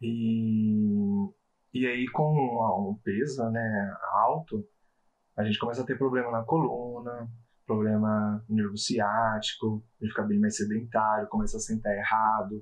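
A man with an ordinary speaking voice talks at a fairly slow pace and fairly low pitch. His intonation is fairly even and his loudness very even. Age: 30s. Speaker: quality inspector sharing weight-loss story. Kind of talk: interview, personal testimony.

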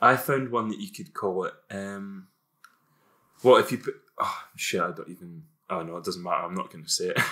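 A man talks at a fairly quick pace, broken by long, frequent pauses. His loudness swings widely on a very clean recording with a silent background. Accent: Scottish. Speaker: podcast co-host. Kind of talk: casual chat.

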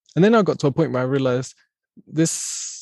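The speaker talks at a moderate pace in an English accent. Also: man. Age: 30s. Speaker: podcast host. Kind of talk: casual interview chat. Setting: video call.

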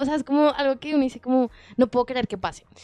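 Against background music, a woman speaks at a high pitch, the sound dry and close with no echo. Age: 20s. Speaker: women's rights organization director. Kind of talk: podcast interview.

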